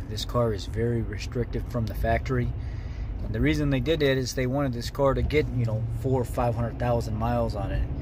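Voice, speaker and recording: Against noticeable background noise, a man talks at a moderate pace with a dry sound that has no echo. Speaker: car hobbyist vlogger. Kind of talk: casual vlog chat. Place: car. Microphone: phone near.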